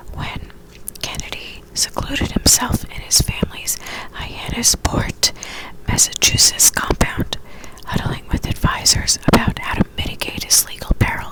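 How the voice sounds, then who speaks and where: A woman whispers fairly slowly, with noticeable noise in the background. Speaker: ASMR creator. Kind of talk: ASMR whispered reading of a magazine article. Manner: whispered.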